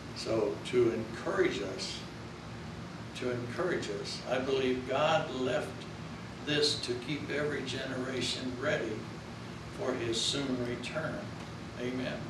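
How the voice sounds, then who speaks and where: Long, frequent pauses break up the speech, which carries audible room echo and noticeable background noise. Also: man. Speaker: pastor. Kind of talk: sermon. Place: church. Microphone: camera far.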